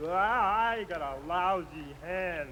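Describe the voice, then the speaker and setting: A cartoonish character voice comes through clear background noise. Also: man. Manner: grumbling.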